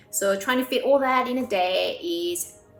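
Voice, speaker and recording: Over music in the background, a woman's voice moves through very wide pitch swings. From Korea, raised in Australia. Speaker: pianist and composer. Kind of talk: interview answer.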